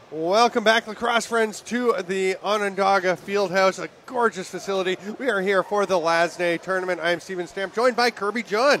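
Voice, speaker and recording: A man talks at a moderate pace with hardly any pauses, high pitch and fairly even intonation. Noticeable background noise is present. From Canada. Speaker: lacrosse play-by-play commentator. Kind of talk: live sports commentary. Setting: indoor arena broadcast booth.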